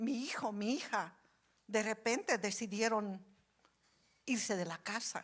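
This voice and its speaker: On a very clean recording with a silent background, a woman speaks very slowly with ordinary pitch variation. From Bolivia. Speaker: preacher. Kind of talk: sermon.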